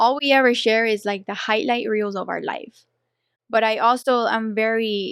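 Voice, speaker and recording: Against a quiet background, a woman with a strong Colombian accent speaks at a fairly high pitch with fairly even intonation. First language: Spanish. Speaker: professional dancer and boxing coach. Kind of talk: casual interview chat. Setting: studio.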